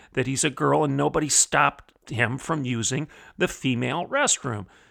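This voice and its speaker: This man has a bright, sharp tone with vocal fry, speaking at a moderate pace in a very clean recording with a silent background. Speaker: opinion columnist and podcast host. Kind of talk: angry rant, fiery political commentary. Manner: indignant, forceful, sarcastic, preacher-like cadence.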